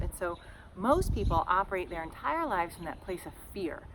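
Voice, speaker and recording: A woman's animated voice at a moderate pace, against noticeable background noise. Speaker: podcast host, shamanic teacher. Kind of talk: casual podcast monologue. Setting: outdoors, front yard. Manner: loud.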